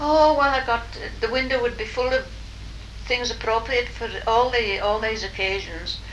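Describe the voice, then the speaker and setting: A woman with a Cumbrian accent, audible room echo and noticeable background noise. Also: moderate pace. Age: 80s+. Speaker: retired shopkeeper and dressmaker. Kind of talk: oral history interview.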